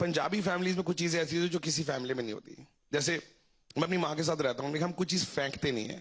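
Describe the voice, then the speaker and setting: Fairly high in pitch, this man uses a normal speaking voice. His pitch varies in an ordinary way. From Delhi, north India (Punjabi family). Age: 30s. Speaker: stand-up comedian. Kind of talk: stand-up.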